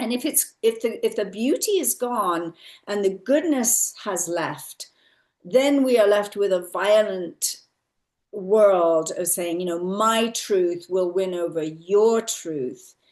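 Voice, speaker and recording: A woman in a southern English accent speaks at a very slow pace with lively intonation. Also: medium pitch for a woman. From England, Cambridge. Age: 60s. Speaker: spiritual speaker. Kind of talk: casual chat. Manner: animated.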